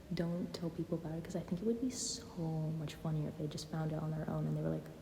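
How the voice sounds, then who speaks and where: The woman talks fairly quickly. Her voice carries audible room echo. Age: 20s. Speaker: YouTuber. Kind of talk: casual chat. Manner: hesitant, pauses and stutters; unscripted, filler-heavy.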